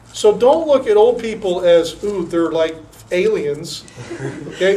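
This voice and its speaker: A man's high-pitched, fairly slow speech with lively intonation over noticeable background noise. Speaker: youth group leader. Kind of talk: talk to youth group.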